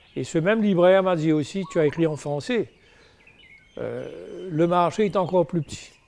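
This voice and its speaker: Over noticeable background noise, a man speaks at a moderate pace. His pitch is fairly high, with ordinary variation. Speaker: novelist. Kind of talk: interview. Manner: hesitant, many fillers.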